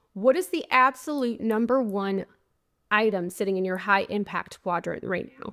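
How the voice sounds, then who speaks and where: A woman with a plain, everyday voice, fairly high pitch, ordinary pitch variation and a moderate pace, on a very clean recording with a silent background. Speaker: podcast host and life coach. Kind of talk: solo podcast monologue. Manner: conversational.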